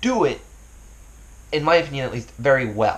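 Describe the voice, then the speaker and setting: With a somewhat breathy voice, a man delivers his words at a fairly quick pace. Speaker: YouTuber. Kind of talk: casual vlog talk. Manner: fast; stumbling, filler words.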